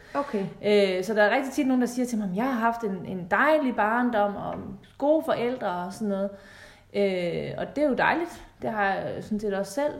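Lively intonation amid audible room echo. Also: woman, fairly high pitch for a woman, moderate pace. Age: 30s. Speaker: relationship coach. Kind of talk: podcast interview.

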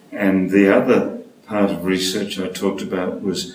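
Very slowly, a man with a fairly low pitch speaks amid noticeable background noise and audible room echo. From Australia, Sydney. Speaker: speech pathologist and stuttering researcher. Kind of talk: interview.

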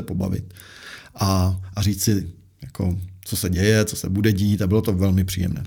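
This man's voice has a dark, mellow tone and a fairly low pitch. His intonation stays fairly even at a fairly quick pace. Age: 40s. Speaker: investment adviser, former portfolio manager. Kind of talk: interview. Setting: studio.

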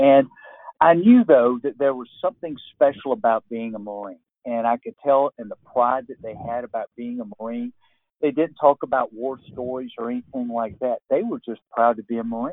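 Speaking at a moderate pace with an American accent, a man uses an ordinary speaking voice with fairly even intonation and big swings in loudness. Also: medium pitch for a man. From US South, Georgia. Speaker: retired Marine colonel and author. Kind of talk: interview.

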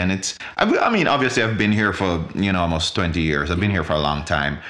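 A man talks with a very deep, low pitch. Echo from the room can be heard. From Jamaica. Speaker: podcast guest. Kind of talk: casual chat.

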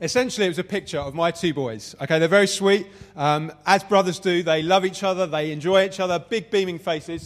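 Speaking at a fairly quick pace in a London accent, a man uses a high pitch with ordinary pitch variation. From Southeast London, England. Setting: venue with live audience.

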